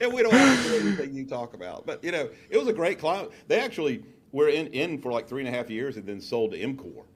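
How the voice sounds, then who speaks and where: A man's fairly high voice at a very fast pace, with very wide pitch swings, big swings in loudness, and noticeable background noise. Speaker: business coach. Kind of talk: interview.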